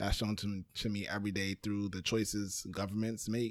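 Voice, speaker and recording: In a very clean recording with a silent background, a man with an American accent speaks in an ordinary speaking voice at a fairly low pitch. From Brooklyn, New York. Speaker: podcast producer. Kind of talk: casual chat.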